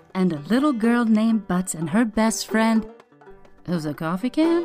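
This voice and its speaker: Music plays in the background. A woman speaks at a fairly high pitch with very wide pitch swings. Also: moderate pace. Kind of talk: movie trailer.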